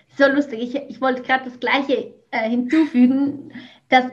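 A woman with a Swiss German accent, high-pitched and fairly slow. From Switzerland. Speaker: business coach, former teacher. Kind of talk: podcast interview.

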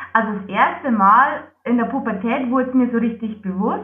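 A woman at a moderate pace, with a slight Lower Bavarian accent and ordinary pitch variation. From Lower Bavaria, Germany. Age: 20s. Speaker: psoriasis patient, project manager. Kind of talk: interview.

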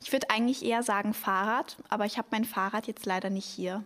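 A woman speaks at a medium pitch and a very fast pace. Her intonation stays fairly even. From Germany, Hamburg. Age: young. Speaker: podcast host, cultural volunteer. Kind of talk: casual podcast chat.

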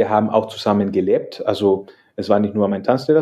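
A man speaks with a Spanish accent at a medium pitch. His pace is fairly quick. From El Salvador. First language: Spanish (speaking German). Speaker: salsa dance teacher. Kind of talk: casual interview. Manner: hesitant, many fillers.

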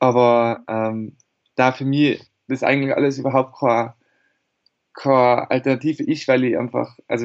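A man's flat, monotone delivery at a medium pitch. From Austria, Tyrol. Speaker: singer-songwriter. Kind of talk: interview.

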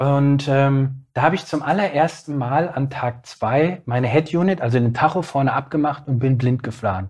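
A man with a fairly high, somewhat breathy voice speaks at a moderate pace with hardly any pauses and ordinary pitch variation, over a quiet background. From Bielefeld, East Westphalia, Germany. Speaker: ultra-cyclist and coach, podcaster. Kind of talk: interview conversation.

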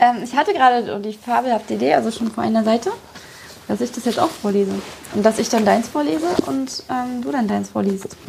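A woman speaks at a fairly quick pace in a fairly high voice, her intonation lively. Noticeable background noise runs behind her. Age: 30s. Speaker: author and podcast host. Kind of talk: casual chat. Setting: hotel room.

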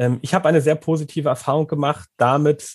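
A man with a somewhat breathy, fairly high voice speaks at a moderate pace, captured in a very clean recording against a silent background. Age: 30s. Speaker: former coaching client, teacher. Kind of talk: interview. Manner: hesitant, many filler sounds.

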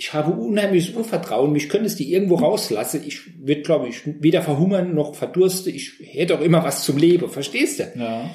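Speaking at a fairly quick pace, a man with a high pitch and a dark, mellow tone shows big swings in loudness. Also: ordinary pitch variation. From Saarland, Germany. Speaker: motivational speaker and coach. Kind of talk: interview. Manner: animated.

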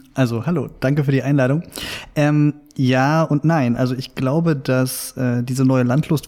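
A man's dark, mellow voice at medium pitch, with fairly even intonation and a moderate pace. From Saxony, near Meissen. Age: 30s. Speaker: journalist. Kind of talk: interview. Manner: hesitant, many filler sounds.

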